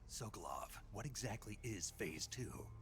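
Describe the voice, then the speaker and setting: A man speaks in a put-on character voice over clear background noise. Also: moderate pace. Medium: video game. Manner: terse, gruff.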